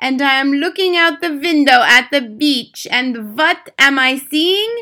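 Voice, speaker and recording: A woman puts on a character voice that is shrill. She delivers it at a fairly slow pace. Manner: furious, shrieking, ranting.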